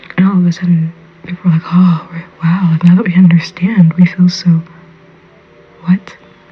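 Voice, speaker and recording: There is noticeable noise in the background. The pace stays moderate. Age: adult. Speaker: podcast host. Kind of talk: personal monologue. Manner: whispering.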